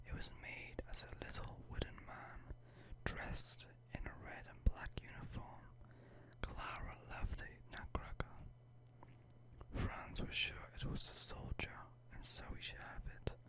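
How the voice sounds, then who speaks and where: A man whispers at a fairly slow pace, pausing long and often. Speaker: ASMR creator. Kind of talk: bedtime story reading. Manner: whispered.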